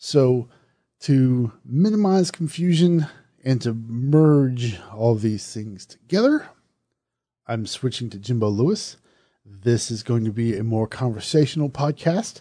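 A man with a Southern US accent speaks fairly slowly at medium pitch, his dark, mellow tone carried by lively intonation. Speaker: horror podcast host and reviewer. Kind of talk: podcast movie review, casual. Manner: conversational, self-deprecating.

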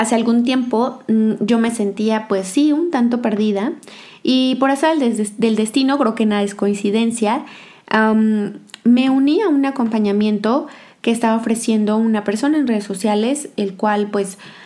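Her voice is fairly high with a dark, mellow tone, and this woman keeps ordinary pitch variation and very even loudness. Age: 20s. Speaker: podcast host. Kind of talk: monologue podcast.

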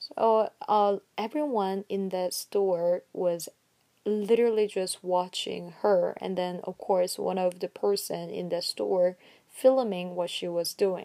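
Very slow and in a Korean accent, a woman with a medium pitch and a dark, mellow tone is heard on a very clean recording with a silent background and a dry, close sound with no echo. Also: ordinary pitch variation. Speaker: podcaster. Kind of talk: solo podcast monologue. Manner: hesitant, many fillers.

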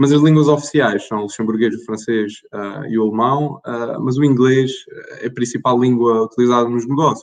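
This man talks at a moderate pace. His medium-pitched voice keeps a fairly even intonation. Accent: European Portuguese. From Portugal. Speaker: tax consultant. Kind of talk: presentation.

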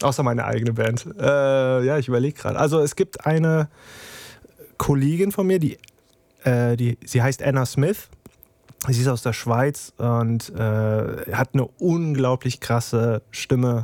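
The recording is dry and close with no echo as a man at medium pitch speaks fairly slowly, with ordinary pitch variation and very even loudness. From Germany, Trier. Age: 30s. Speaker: music producer and YouTuber. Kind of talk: casual interview. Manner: hesitant, many fillers.

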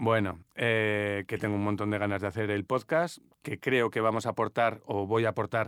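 Dry and close with no echo, this very clean recording has a silent background. A man speaks in a normal speaking voice at a fairly slow pace with a fairly low pitch. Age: 50s. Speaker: dietitian-nutritionist. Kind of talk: casual chat.

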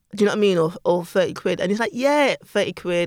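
Recorded very cleanly against a silent background, a woman with a London accent talks at a very fast pace with lively intonation. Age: 30s. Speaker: podcast co-host. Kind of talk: casual chat.

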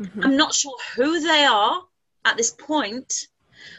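A woman with an English accent and a high pitch speaks at a fairly slow pace with lively intonation. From England. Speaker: spiritual channeler. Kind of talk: casual chat.

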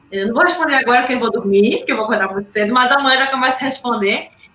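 Against noticeable background noise, a woman with a high pitch speaks in a raised, projected voice. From Pernambuco, Brazil. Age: 40s. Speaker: triathlete. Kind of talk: interview.

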